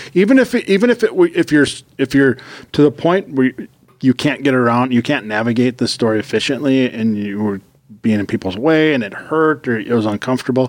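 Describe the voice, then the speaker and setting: Ordinary rises and falls mark the pitch. The delivery moves fairly briskly. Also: man, medium pitch for a man. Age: 40s. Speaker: fitness podcast co-host. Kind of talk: casual chat.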